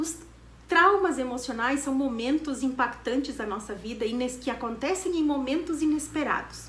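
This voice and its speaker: A high-pitched woman speaks at a moderate pace with ordinary pitch variation, amid noticeable background noise and audible room echo. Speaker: therapy institute director. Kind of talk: educational talk.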